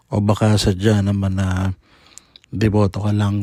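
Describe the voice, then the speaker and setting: A man speaks at a fairly slow pace in a fairly low voice with a dark, mellow tone. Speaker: faith vlogger, devotee. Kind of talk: personal testimony narration. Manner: polite, earnest.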